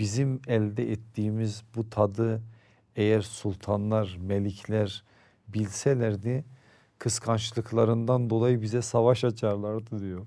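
A man's fairly low voice, very slow and flat in a monotone, with a dark, mellow tone over a quiet background. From Turkey, Erzurum (eastern Anatolia); Turkey. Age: 50s. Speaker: Islamic preacher and foundation founder; interview guest. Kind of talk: interview conversation. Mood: calm, warm storytelling. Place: studio. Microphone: lapel.

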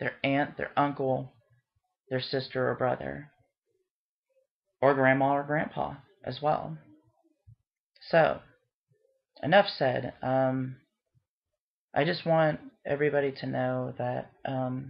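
Over a quiet background, the speech moves at a very slow pace with long, frequent pauses. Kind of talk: casual vlog chat. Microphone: webcam.

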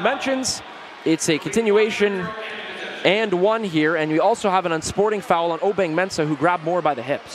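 The man talks at a moderate pace. Noticeable background noise sits behind him. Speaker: basketball play-by-play commentator. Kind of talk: live sports commentary. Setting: live game broadcast. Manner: excitable, rising on big dunks and buckets.

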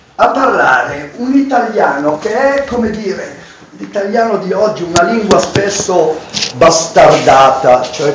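A man talks at a fairly slow pace with audible room echo. Light background noise runs underneath. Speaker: professor reading dialect poetry. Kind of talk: book presentation talk. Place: hall. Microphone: camera far.

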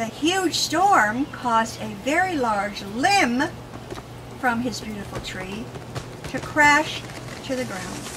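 A high-pitched woman's voice with a warm tone, very wide pitch swings and big swings in loudness, at a very slow pace with long, frequent pauses, over noticeable background noise. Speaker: children's book author and grandmother. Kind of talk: expressive children's story reading to a child. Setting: home, intimate reading with a young child. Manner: expressive, warm, interactive. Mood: warm, expressive, animated. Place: garden.

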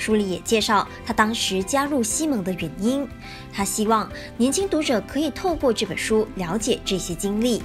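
Over music in the background, a woman speaks with a fairly high pitch and lively intonation. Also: moderate pace. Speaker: news reporter. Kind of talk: TV news voice-over.

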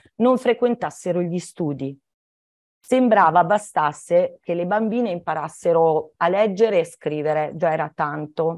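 A woman talks at a fairly slow pace with lively intonation. Her pitch is fairly low, against a quiet background. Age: 60s. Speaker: children's author and teacher; teacher. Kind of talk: talk for schoolchildren. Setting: video call. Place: home room. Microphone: video call.

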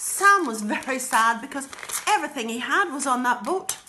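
A high-pitched woman projects her raised voice at a fairly quick pace. Her intonation is lively, with light noise in the background. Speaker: storyteller. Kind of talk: children's storytelling. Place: home room. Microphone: phone near.

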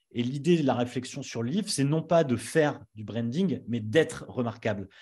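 A man's dark, mellow, somewhat breathy voice with lively intonation at a moderate pace, over a quiet background. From northern France (Nord-Pas-de-Calais). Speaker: brand strategist and agency founder; interviewee, brand coach. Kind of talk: interview. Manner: hesitant, many fillers. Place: home room. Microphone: studio mic.

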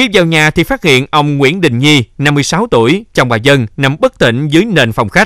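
An unremarkable speaking voice from a man, fairly high in pitch, with lively intonation, very even loudness and hardly any pauses, in a dry, close sound without echo. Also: moderate pace. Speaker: news anchor. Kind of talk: news reading. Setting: studio. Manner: formal.

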